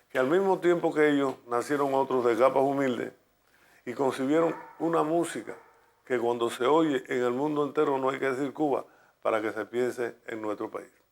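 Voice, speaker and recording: On a very clean recording with a silent background, a man with a normal speaking voice talks at a moderate pace in a medium pitch with ordinary pitch variation. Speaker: radio announcer and music promoter in Cuba. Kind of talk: documentary interview answer.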